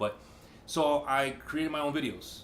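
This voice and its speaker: A man speaks with an American accent. Room echo is audible around his voice. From Bay Area, California. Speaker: chef and former dancer. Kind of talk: interview monologue. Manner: code-switching Spanish and English.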